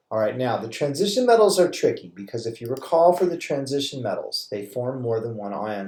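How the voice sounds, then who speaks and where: A man's somewhat breathy voice has a dark, mellow tone and lively intonation. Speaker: chemistry teacher. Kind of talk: recorded lecture tutorial. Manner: halting, self-correcting.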